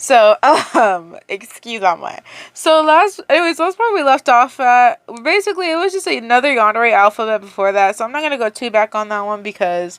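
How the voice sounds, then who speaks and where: A woman's voice swings very widely in pitch, recorded dry and close with no echo. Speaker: fanfiction reader. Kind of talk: casual intro before story reading. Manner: casual, filler-heavy.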